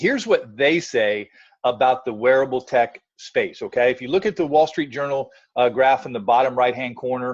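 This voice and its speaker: A man at medium pitch with ordinary pitch variation. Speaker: network marketing presenter. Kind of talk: business presentation. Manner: fast.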